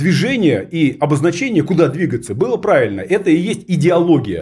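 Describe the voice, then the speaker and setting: In a very clean recording with a silent background, a man with a high pitch and a dark, mellow tone speaks at a moderate pace. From Russia, region about 200 km from Moscow. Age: 50s. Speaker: political theorist. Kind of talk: studio interview. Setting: studio.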